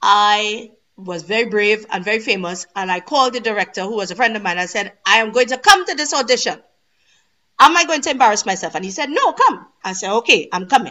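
A woman with a Trinidadian accent, fairly high-pitched, lively in intonation, at a fairly quick pace. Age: 40s. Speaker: stage and TV actress. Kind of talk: interview. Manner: energetic.

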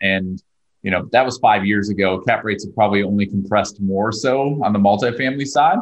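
Talking at a fairly quick pace, a man has an unremarkable speaking voice, a fairly low pitch and ordinary pitch variation. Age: 40s. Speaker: real estate investor. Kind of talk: interview.

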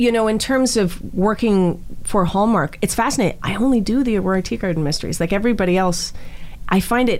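A woman speaks with a Canadian accent. Her intonation is lively. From Toronto, Canada. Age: 40s. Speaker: actress. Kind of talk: casual chat.

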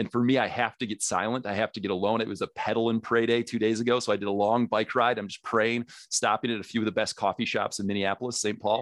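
A man talking at a very fast pace with hardly any pauses, dry, close sound with no echo, and a quiet background. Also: medium pitch for a man. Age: 30s. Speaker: dad ministry founder and podcaster. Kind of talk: podcast interview. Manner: animated.

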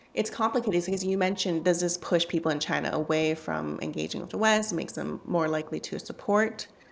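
A woman with a Canadian accent talks at a fairly quick pace, using a fairly low pitch with ordinary pitch variation and some vocal fry. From Canada. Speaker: journalist and author. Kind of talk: interview.

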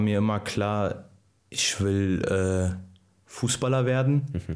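A man with a fairly low pitch and fairly even intonation. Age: 20s. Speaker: professional footballer. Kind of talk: casual interview.

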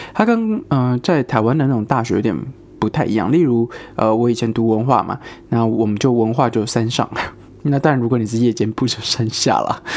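Fairly quick delivery from a man with an ordinary speaking voice, his pitch medium and its variation ordinary. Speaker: podcast host. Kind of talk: casual solo chat.

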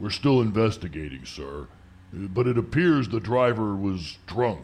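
A man does a put-on character voice, gravelly and fairly low in pitch. His pitch swings very widely at a moderate pace. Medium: audio drama. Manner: formal, polite, addresses him as sir.

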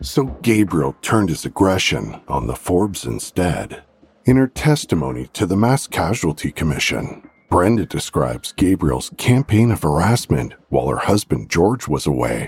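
Very wide pitch swings mark this dramatic tone. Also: man, very deep, low pitch for a man, moderate pace. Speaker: podcast narrator. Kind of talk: scripted true-crime narration. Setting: studio. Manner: dramatic, grave, suspenseful narration.

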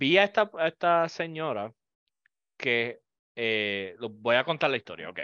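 A man's medium-pitched voice at a very slow pace, very wide pitch swings and long, frequent pauses, over a quiet background. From Puerto Rico. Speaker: podcast host. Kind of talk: casual chat.

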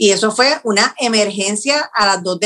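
Her tone bright and sharp, a woman speaks at a fairly slow pace with a fairly high pitch and ordinary pitch variation. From Puerto Rico, Yauco. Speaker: TV news producer. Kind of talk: interview. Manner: halting, with frequent repetitions.

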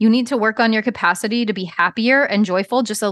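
A woman with an American accent talks at a fairly quick pace in a normal speaking voice. Her pitch is fairly high with ordinary variation, and the background is quiet. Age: 40s. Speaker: business coach. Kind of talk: casual chat.

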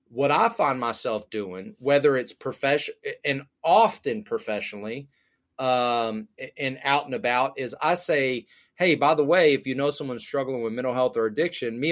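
In a normal speaking voice, the speaker goes at a fairly quick pace with ordinary pitch variation, on a very clean recording with a silent background. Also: man. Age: 30s. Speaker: addiction recovery advocate and podcast host. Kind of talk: casual interview.

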